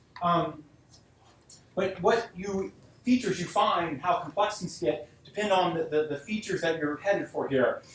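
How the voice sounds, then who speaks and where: A man speaks at a moderate pace in a high voice with ordinary pitch variation, and there is noticeable background noise behind him. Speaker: guest lecturer, software engineer. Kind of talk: lecture. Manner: halting with repetitions.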